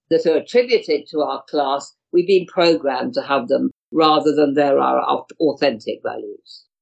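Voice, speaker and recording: Speaking at a fairly slow pace, a woman talks with a British accent. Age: 70s. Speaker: astrologer and healer. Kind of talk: interview.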